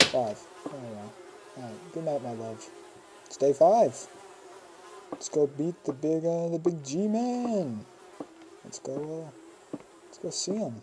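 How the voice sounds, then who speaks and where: The speech comes with long, frequent pauses against noticeable background noise. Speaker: gaming video creator. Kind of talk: gameplay commentary.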